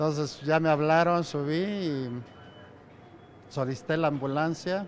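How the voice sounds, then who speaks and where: This man speaks very slowly in a fairly high voice. His pitch moves in an ordinary way. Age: 70s. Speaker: metro station manager. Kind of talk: interview testimony.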